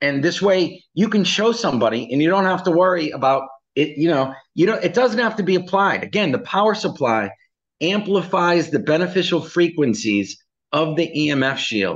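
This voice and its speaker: At a moderate pace, a man speaks in a high voice at very even loudness against a quiet background. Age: 60s. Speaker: company founder presenting products. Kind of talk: product presentation.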